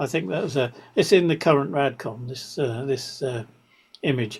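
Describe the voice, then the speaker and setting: A man's somewhat breathy, fairly high voice with an English accent, lively intonation and a moderate pace. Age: 70s. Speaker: amateur radio presenter. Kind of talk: online presentation. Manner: halting, many repetitions.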